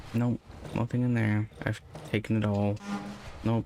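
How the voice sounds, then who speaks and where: A man speaks at a fairly low pitch. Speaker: gaming channel host. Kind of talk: let's play commentary with faith reflection. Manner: slow, thinking aloud.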